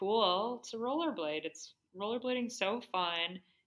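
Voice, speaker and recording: A woman speaks in a Midwestern American accent with ordinary pitch variation. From US Midwest (Cleveland, Ohio). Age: 30s. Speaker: endurance athlete. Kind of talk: casual interview chat.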